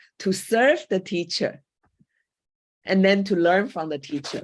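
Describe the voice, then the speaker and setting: A woman speaks at a medium pitch with a Chinese accent. The background is quiet. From Taiwan. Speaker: coach and former school teacher. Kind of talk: panel talk. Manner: halting.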